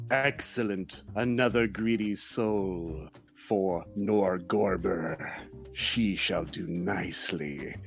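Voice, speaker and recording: Over clear music in the background, a man does a put-on character voice at a fairly low pitch and a very slow pace. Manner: menacing, smug.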